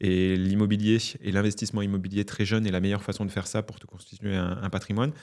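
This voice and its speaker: Over a silent background in a very clean recording, a man talks very fast in a fairly low, dark, mellow voice with monotone, flat intonation. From southern France, Narbonne. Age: 30s. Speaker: entrepreneur. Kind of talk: interview. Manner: hesitant, many fillers and repetitions.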